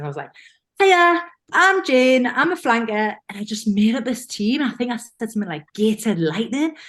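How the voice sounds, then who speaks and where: A woman at a fairly high pitch and moderate pace, with very wide pitch swings and big swings in loudness. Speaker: rugby player. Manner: animated storyteller, self-deprecating.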